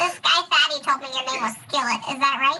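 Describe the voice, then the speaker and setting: A woman's high-pitched, put-on character voice at a fairly quick pace. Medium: actual play. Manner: bubbly, forward.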